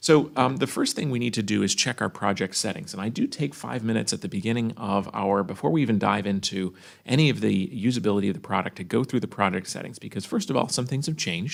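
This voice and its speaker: Rapid and with hardly any pauses, a man's very fast speech has lively intonation and vocal fry. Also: medium pitch for a man. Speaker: software product trainer. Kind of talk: live tutorial webinar. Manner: hesitant, many fillers.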